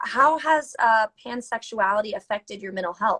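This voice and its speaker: In an American accent, a woman with an ordinary speaking voice talks at a moderate pace, her fairly high pitch varying in an ordinary way, in a dry, close sound with no echo. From US South. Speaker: mental health advocate, interviewer. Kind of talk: casual chat. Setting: Instagram live video call.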